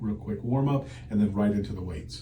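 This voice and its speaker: Ordinary pitch variation with audible room echo and noticeable background noise. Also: man. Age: 60s. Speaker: patient. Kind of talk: interview. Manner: casual, conversational.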